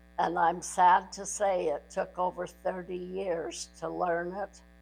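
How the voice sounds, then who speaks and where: A woman speaks at a medium pitch with a flat, monotone delivery. Music plays in the background. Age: 80s+. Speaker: grandmother sharing life story. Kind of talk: personal recorded message to family.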